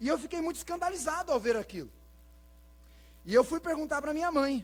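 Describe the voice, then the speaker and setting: A man speaks at a fairly quick pace in an extremely high pitch, with ordinary pitch variation. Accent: rural Brazilian. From Brazil, rural Paraná. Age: 40s. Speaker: pastor. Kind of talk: sermon. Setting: church.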